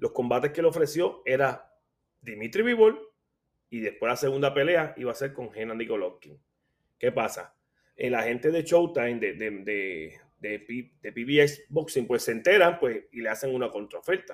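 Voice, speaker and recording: A man's normal speaking voice at medium pitch, with lively intonation and a fairly slow pace. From Puerto Rico, Caguas. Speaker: boxing analyst and blogger. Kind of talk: casual chat.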